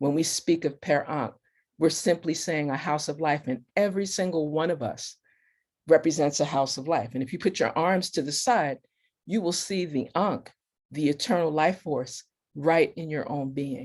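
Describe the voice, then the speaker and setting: The recording is very clean, with a silent background. The pace is moderate. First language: not English. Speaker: spiritual teacher. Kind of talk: panel talk. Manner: formal.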